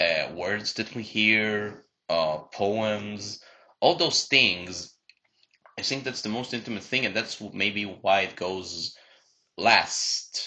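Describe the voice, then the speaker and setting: A man with a non-native accent talks at a very slow pace. His voice is fairly low in pitch, with a bright, sharp tone. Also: ordinary pitch variation. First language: not English. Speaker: podcast co-host. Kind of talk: casual chat.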